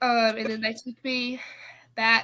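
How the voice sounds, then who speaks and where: A woman speaks in a fairly high voice with a monotone, flat intonation. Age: young. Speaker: former high school basketball player. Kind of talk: interview testimony. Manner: hesitant, many fillers.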